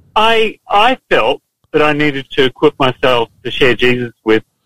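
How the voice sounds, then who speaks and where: With an Australian accent, a man speaks in a fairly high pitch with very wide pitch swings, in a dry, close sound with no echo. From Queensland, Australia. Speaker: police officer. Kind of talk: casual chat.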